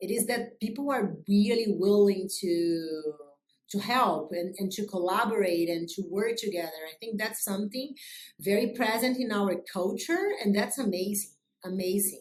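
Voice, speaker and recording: With a Brazilian accent, a woman speaks at a moderate pace and medium pitch with ordinary pitch variation. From Brazil, Rio de Janeiro. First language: Portuguese. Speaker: business executive. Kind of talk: interview. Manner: loud; energetic.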